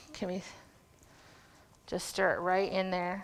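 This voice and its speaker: Speaking at a fairly slow pace, a woman keeps a medium pitch in monotone, flat intonation. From western Canada, North Vancouver. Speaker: cooking demonstrator. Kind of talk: live cooking demonstration.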